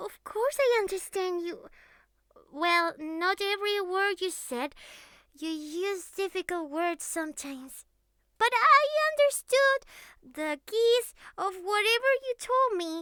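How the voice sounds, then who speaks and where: A woman puts on a character voice with an extremely high pitch. She speaks at a fairly slow pace with long, frequent pauses. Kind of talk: audio roleplay. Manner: affectionate, clingy.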